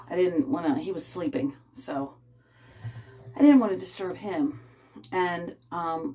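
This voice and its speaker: A woman speaks at a fairly slow pace in a fairly low pitch. Her pitch swings very widely. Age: 50s. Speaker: vlogger. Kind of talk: casual chat. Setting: bathtub at home. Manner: rambling, halting. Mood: calm, personal, confiding. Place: bathroom. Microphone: phone near.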